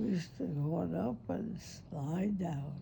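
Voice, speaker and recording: Speaking at a very slow pace, a woman uses a dark, mellow tone with vocal fry. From Cincinnati. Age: old. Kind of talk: interview answer. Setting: hospice room.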